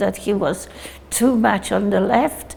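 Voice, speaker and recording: A woman's very slow, fairly even speech at a medium pitch, with noticeable background noise. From Poland (Warsaw), childhood in Soviet Union. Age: 80s+. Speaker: Holocaust survivor. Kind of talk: documentary interview testimony.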